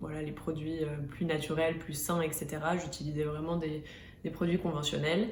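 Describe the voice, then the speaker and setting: Fairly quick speech from a woman with a fairly low pitch, amid noticeable background noise and audible room echo. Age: 20s. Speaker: beauty and lifestyle vlogger. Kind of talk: vlog talking to camera. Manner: hesitant, many filler sounds.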